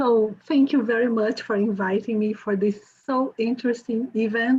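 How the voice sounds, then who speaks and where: A woman's fairly high voice at a fairly slow pace, with a Brazilian accent. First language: Portuguese. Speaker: journalist and author. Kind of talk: conference presentation. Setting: video call.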